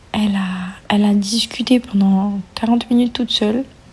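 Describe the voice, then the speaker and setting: There is noticeable background noise behind this woman. Her pitch is fairly high and her intonation fairly even. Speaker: vlogger, mother of a baby. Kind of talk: casual vlog to viewers. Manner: whispered, soft; hesitant with many fillers.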